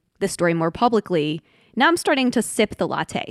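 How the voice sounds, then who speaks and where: In an ordinary speaking voice, a woman talks at a medium pitch with lively intonation, the sound dry and close with no echo. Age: 30s. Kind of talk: reflective interview conversation.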